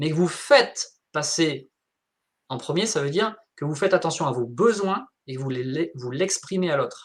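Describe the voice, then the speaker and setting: Animated in tone, a man speaks at a moderate pace with lively intonation and a fairly high pitch. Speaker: wellbeing coach. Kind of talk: live interview.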